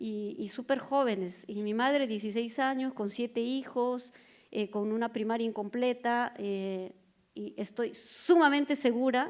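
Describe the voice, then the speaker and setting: In an ordinary speaking voice, a woman talks at a fairly slow pace with a fairly high pitch and fairly even intonation, on a very clean recording with a silent background. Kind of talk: panel talk.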